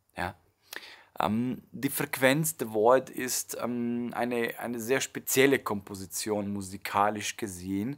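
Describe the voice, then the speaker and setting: A man's calm, warm tone at a very slow pace, with ordinary pitch variation over a quiet background. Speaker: meditation teacher and music creator. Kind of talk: promotional introduction to a meditation track, explanatory monologue. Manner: calm, warm, explanatory, with filler words and restarts. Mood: calm, thoughtful. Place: home room.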